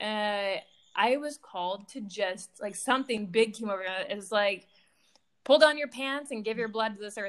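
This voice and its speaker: A woman with an American accent, a plain, everyday voice, fairly high pitch and ordinary pitch variation. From Michigan. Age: 40s. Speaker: relationship coach. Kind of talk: casual chat.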